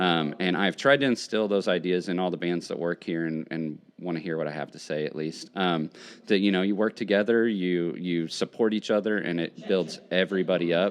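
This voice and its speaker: A fairly quick pace with ordinary pitch variation. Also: man, very deep, low pitch for a man. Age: 30s. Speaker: music venue worker and former punk musician. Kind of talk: interview. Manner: halting, many fillers.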